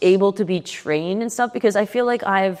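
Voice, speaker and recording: Her intonation is lively. The woman speaks fairly slowly at a medium pitch. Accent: New Jersey. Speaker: podcast host. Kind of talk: casual interview chat.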